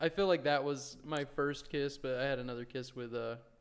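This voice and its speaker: A man speaks at a moderate pace in a normal speaking voice, his pitch fairly high. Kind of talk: casual podcast conversation.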